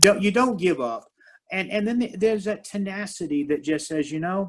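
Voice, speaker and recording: Pitched high, a man speaks at a moderate pace with lively intonation. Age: 60s. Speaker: martial arts master and minister. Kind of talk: interview conversation.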